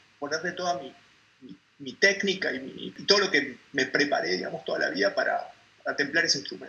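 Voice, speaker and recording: A man talks at a fairly quick pace. Noticeable background noise comes along with his voice. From Argentina. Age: 40s. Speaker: poet and translator. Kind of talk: interview conversation. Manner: halting.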